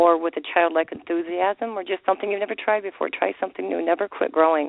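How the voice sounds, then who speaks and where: A woman talks at a very fast pace in an American accent. Her pitch is fairly low and her intonation fairly even. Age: 60s. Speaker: yoga teacher. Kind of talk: interview.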